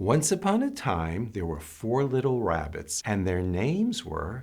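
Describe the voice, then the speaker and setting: A man's medium-pitched voice with very wide pitch swings and a gentle, warm tone. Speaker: storytime reader, grandfather. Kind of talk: children's storybook read-aloud. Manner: gentle, warm, calm.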